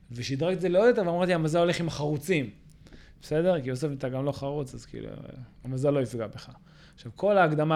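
Pitched fairly high, a man talks with ordinary variation in his pitch. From Israel, Ra'anana. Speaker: podcast host, company CEO. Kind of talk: interview. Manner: hesitant, many fillers.

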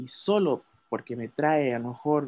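At a very slow pace, a man speaks with a fairly high pitch. His pitch variation is ordinary. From Chile. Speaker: podcast panelist. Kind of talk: casual chat.

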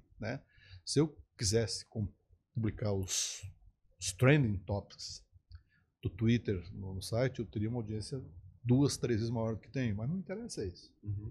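On a very clean recording with a silent background, a man at medium pitch speaks at a fairly slow pace, somewhat breathy, with ordinary pitch variation, big swings in loudness, and long, frequent pauses. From southern Brazil, Porto Alegre. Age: 60s. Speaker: advertising executive and media entrepreneur. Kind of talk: podcast interview.

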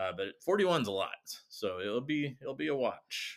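With vocal fry and very wide pitch swings, a man talks at a medium pitch. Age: 40s. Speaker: podcast co-host. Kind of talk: casual chat.

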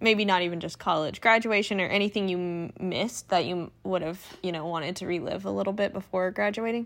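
A woman with an ordinary speaking voice talks at a medium pitch and a fairly quick pace, with fairly even intonation and hardly any pauses. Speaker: podcast co-host. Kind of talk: casual chat. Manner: laughs often.

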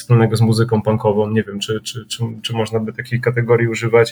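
The man's voice is somewhat breathy. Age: 30s. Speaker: punk band vocalist. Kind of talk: casual chat.

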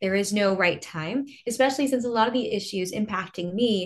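This woman uses a normal speaking voice at a medium pitch. She talks at a moderate pace with lively intonation. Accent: American. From small-town Texas. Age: 20s. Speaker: congressional candidate and former beauty queen. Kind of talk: interview.

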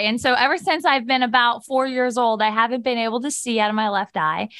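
A woman with an American accent and a normal speaking voice talks at a fairly high pitch in a very clean recording with a silent background. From Ohio, near Steubenville. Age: 20s. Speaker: nonprofit founder, cancer survivor. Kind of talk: podcast interview, personal testimony.

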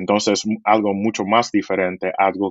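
A man's fairly low voice at a fairly slow pace. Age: 30s. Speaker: media audience executive. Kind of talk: interview. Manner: halting.

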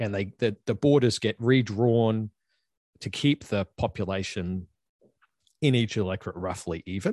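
A man with an Australian accent speaks at a moderate pace with a fairly low pitch and ordinary pitch variation, the sound dry and close with no echo over a quiet background. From Australia (Queensland). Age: 30s. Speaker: university professor. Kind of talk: casual interview chat.

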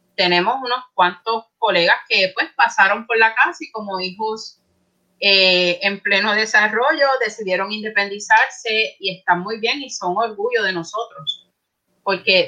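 Her voice is fairly high for a woman, bright and sharp in tone, with ordinary pitch variation. She speaks fairly slowly, and her loudness swings a lot. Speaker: librarian, academic. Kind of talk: casual chat. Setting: video call.

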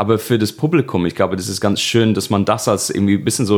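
Over noticeable background noise, a man talks at a fairly low pitch with fairly even intonation. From northwest England, Birkenhead near Liverpool. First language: English (speaking German). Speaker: comedian. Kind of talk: casual chat.

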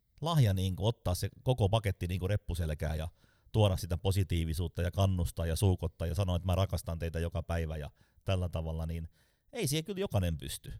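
On a very clean recording with a silent background and a dry, close sound with no echo, a man talks at a fairly quick pace with a very deep, low pitch, a dark, mellow tone and ordinary pitch variation. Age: 40s. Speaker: sales trainer. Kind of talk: casual interview.

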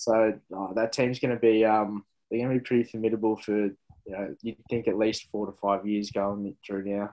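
In a fairly low voice, a man with an Australian accent speaks at a moderate pace with monotone, flat intonation. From Melbourne, Australia (south-eastern suburbs). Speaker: former AFL footballer and actor. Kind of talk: interview. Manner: halting, many fillers.

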